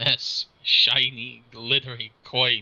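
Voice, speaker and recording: A man performs in a put-on character voice. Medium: actual play. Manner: nervous, stammering.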